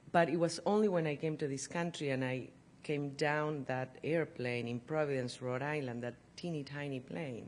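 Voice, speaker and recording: The speaker has a Spanish accent and ordinary pitch variation. The pace is moderate. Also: woman. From Argentina, Buenos Aires. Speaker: professor. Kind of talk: lecture.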